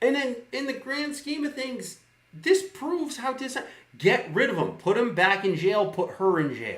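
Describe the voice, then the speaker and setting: This man's voice is loud and extremely high-pitched, with very wide pitch swings. He speaks at a fairly slow pace in an animated tone. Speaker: live streamer. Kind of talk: political rant. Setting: live stream.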